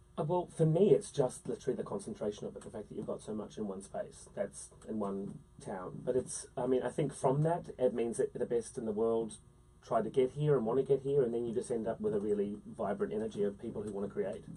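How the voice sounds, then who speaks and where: In a New Zealand accent, the voice moves at a fairly quick pace with lively intonation. Its tone is dark and mellow and somewhat breathy. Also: man, medium pitch for a man. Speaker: musical theatre actor. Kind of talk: interview. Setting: studio.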